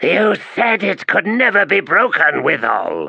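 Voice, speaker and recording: A put-on character voice from a man, high-pitched and hissing, at a fairly slow pace. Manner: hissing, accusatory.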